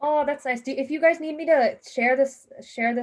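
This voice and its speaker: Speaking at a fairly quick pace, a woman delivers her words. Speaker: hackathon workshop presenter. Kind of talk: online workshop lecture. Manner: fast.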